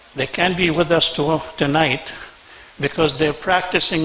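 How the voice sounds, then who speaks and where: Over noticeable background noise, a man with fairly high pitch speaks with fairly even intonation. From Senegal and Lebanon. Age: 60s. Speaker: business owner, award recipient. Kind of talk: acceptance speech.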